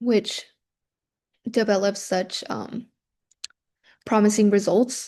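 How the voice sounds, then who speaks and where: Very slow and full of long, frequent pauses, a woman with a Spanish accent speaks at a fairly high pitch in a dark, mellow tone with monotone, flat intonation. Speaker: university student presenting study abroad. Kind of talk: student presentation. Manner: hesitant, many fillers.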